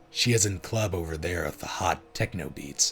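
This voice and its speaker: Putting on a character voice, a man speaks at a very deep, low pitch. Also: moderate pace. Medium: read story. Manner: solemn, oracle-like.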